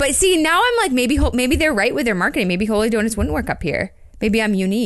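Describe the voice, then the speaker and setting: With an American accent, a woman talks at a very fast pace with vocal fry, a fairly high pitch, very wide pitch swings and very even loudness. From Maine, US (Bangor). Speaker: podcast co-host. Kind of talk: casual chat.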